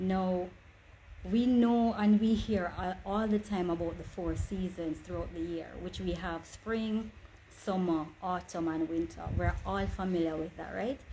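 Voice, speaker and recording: A woman speaks at a fairly slow pace in a dark, mellow tone. Her voice is somewhat breathy. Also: medium pitch for a woman, fairly even intonation. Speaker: online inspirational speaker. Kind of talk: motivational talk. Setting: livestream.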